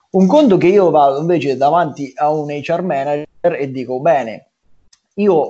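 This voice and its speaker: This man's pitch sits fairly high, with ordinary variation. He talks at a moderate pace. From Marche, Italy (small village). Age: 20s. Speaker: pizzeria entrepreneur. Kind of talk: casual interview chat. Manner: halting, many repetitions and fillers.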